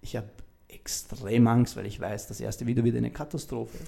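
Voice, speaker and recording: Speaking at a fairly quick pace, a man with a medium pitch has a dark, mellow tone and vocal fry. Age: 30s. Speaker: mental coach and mentor. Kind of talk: interview. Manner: halting.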